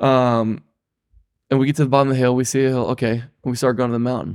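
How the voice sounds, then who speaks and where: The recording is very clean with a silent background and a dry, close sound with no echo. A man with a Midwestern US accent speaks at medium pitch with fairly even intonation. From Ohio. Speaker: guest, cross-country cyclist and school worker. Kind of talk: casual storytelling.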